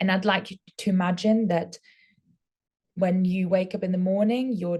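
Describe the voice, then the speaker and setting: Somewhat breathy and dark, mellow in tone, a woman speaks at a medium pitch with fairly even intonation. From Austria. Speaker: former prison officer. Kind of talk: webinar presentation.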